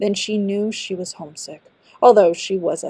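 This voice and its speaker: A woman with an unremarkable speaking voice at a medium pitch talks at a moderate pace, the sound dry and close with no echo. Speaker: audiobook narrator, amateur voice actor. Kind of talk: fairy tale audiobook narration. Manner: storytelling, narrative.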